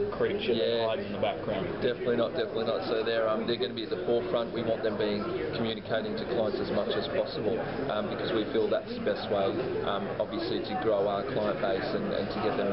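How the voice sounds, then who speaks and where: The speech moves at a very fast pace. Crowd noise fills the background. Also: man. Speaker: company sales director. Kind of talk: interview answer. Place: hall. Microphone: phone near.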